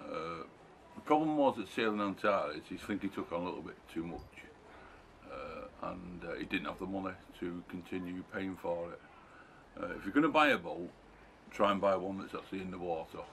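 Amid light background noise, a man with a normal speaking voice talks at a fairly quick pace and fairly low pitch, with ordinary pitch variation and big swings in loudness. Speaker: sailing vlogger. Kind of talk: casual vlog chat. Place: garden. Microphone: camera far.

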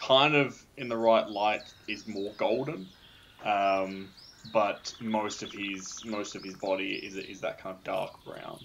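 A man with a fairly low pitch and a fairly bright tone speaks slowly with fairly even intonation, and audible room echo surrounds his voice.

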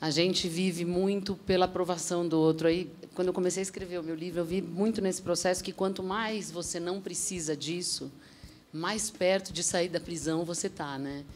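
A woman with a normal speaking voice and a fairly low pitch talks at a moderate pace with fairly even intonation. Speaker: author and former reality show contestant. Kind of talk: TV talk show panel discussion. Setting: TV studio.

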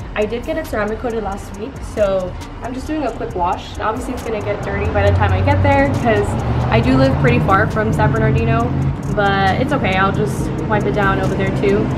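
A fairly quick pace over background music. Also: woman. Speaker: car enthusiast vlogger. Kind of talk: casual vlog chat. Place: street. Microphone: phone near.

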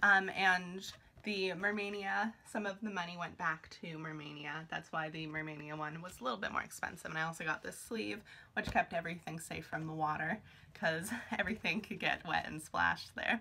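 Her voice fairly low, a woman speaks at a fairly quick pace with ordinary pitch variation. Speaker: vlogger. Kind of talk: casual haul vlog chat. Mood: excited, cheerful. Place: home room. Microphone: phone near.

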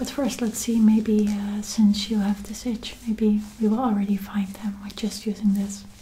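A woman whispering, soft-spoken. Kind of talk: soft-spoken ASMR roleplay. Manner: soft close ASMR whisper. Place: home room. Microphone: earbuds.

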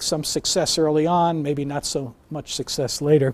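A man with an American accent and a normal speaking voice talks at a moderate pace in a fairly high pitch, on a very clean recording with a silent background. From New York. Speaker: neuroscience professor. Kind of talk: lecture.

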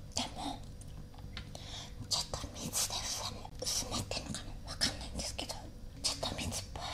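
The speaker is a woman. She talks at a moderate speed. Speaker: ASMR YouTuber. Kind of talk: casual ASMR eating talk. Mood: cheerful, playful. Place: home room.

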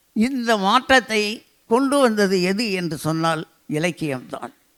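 Heard in a very clean recording with a silent background, a man's high voice has a bright, sharp tone and lively intonation. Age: 80s+. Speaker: invited speaker at literary festival. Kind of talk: public speech. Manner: formal.

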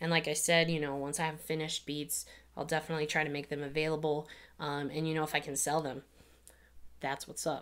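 At a very fast pace, a woman speaks in a very deep, low voice with a monotone, flat intonation. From Miami. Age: 20s. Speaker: music producer and YouTuber; YouTuber. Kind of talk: casual Q&A vlog; casual vlog chat. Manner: hesitant with many fillers. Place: studio.

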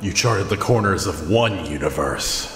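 In a fairly low put-on character voice, a man speaks at a moderate pace with slight echo and clear background noise. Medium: machinima. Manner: lofty, measured.

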